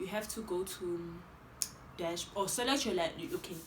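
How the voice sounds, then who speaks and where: A woman's animated delivery with lively intonation at a fairly slow pace, with audible room echo and noticeable background noise. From South Africa. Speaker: YouTuber. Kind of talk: tutorial.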